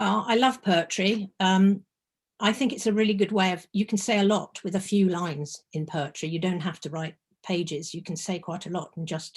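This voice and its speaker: A woman speaks at a medium pitch and a moderate pace, her voice somewhat breathy. Her pitch varies in an ordinary way, and the background is quiet. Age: 70s. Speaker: memoir author. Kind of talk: book launch interview. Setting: video call. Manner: halting.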